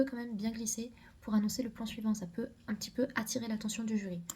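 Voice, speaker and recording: A woman talks very fast at a fairly high pitch, her dark, mellow tone somewhat breathy. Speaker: medical student youtuber. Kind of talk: casual advice video. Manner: hesitant fillers.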